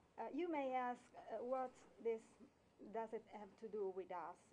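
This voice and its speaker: With an Italian accent, a woman speaks at a fairly high pitch and moderate pace, her dark, mellow tone showing ordinary pitch variation. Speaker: lawyer. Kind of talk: prepared speech read from notes. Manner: halting.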